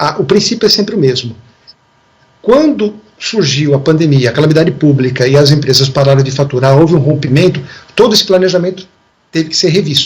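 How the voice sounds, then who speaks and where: Long pauses come often as a man speaks with a fairly high pitch and ordinary pitch variation. Between them his pace is fairly quick. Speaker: lawyer. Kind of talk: TV interview. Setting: video call. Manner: fast.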